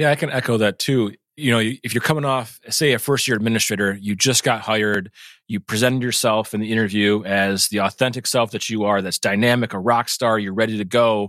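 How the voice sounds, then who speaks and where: A man with a normal speaking voice and an American accent talks at a medium pitch and a fairly quick pace. His intonation is fairly even, and the sound is dry and close with no echo. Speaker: school administrator. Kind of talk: casual interview chat.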